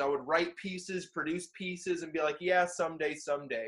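A man with an American accent. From Florida (Orlando). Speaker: battle rapper and freestyler. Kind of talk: casual interview chat.

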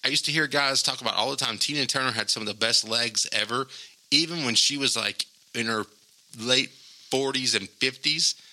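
A man's animated, bright, sharp voice at a moderate pace. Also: medium pitch for a man. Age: 40s. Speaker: podcast host. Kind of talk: casual chat.

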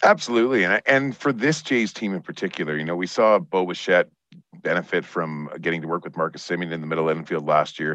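A man with a very deep, low pitch speaks in a Canadian Prairie accent. He goes at a very fast pace with ordinary pitch variation. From Saskatchewan, Canada. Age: 30s. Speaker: baseball writer, team executive and country singer. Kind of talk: casual chat.

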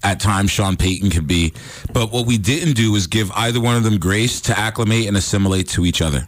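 A man's unremarkable speaking voice, fairly low and fairly quick, with ordinary pitch variation. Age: 50s. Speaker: sports analyst. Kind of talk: casual chat. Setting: studio.

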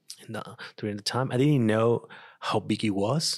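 A man with a non-native accent at a moderate pace. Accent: foreign, non-native English. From Venezuela. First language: Spanish. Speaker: designer. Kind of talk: casual interview. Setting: home.

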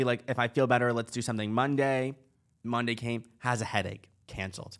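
A man speaks at a medium pitch in a flat monotone, moving at a fairly quick pace. The recording is very clean with a silent background. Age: 20s. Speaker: podcast co-host. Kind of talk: casual chat.

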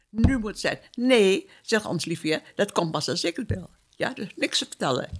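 A woman at a medium pitch shows vocal fry and makes very wide pitch swings. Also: moderate pace. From Dutch East Indies, Surabaya (Java). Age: 80s+. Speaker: war survivor. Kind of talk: testimony. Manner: halting.

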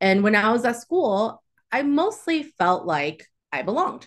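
Very wide swings of pitch in a woman's speech. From Texas (Southwest Houston). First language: Chinese. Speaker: nonprofit director and civic advocate. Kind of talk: podcast interview.

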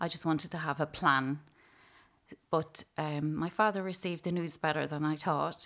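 With an Irish accent, a woman speaks at a moderate pace in a very deep, low voice with fairly even intonation, on a very clean recording with a silent background. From Ireland, County Louth. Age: 40s. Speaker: psychotherapist and pastoral care worker. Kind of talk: testimony.

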